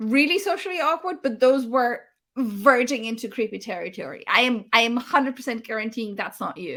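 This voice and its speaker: A woman with a high pitch sounds animated, her bright, sharp tone carried by lively intonation. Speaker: livestream host. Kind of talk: casual chat. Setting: livestream. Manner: loud.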